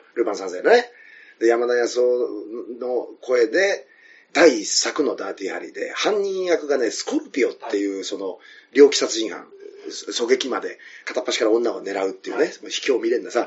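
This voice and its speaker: A man talks at a moderate pace, his loudness swinging in big jumps. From Tokyo, Koto ward (Kameido). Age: 40s. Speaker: comedian. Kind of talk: casual chat. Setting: restaurant. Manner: animated.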